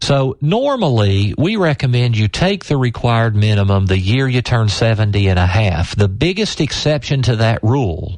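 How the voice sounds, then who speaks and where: This man has an ordinary speaking voice, medium in pitch, and he talks at a moderate pace. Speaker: financial advisor and radio show host. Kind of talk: radio financial tip segment. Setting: radio broadcast.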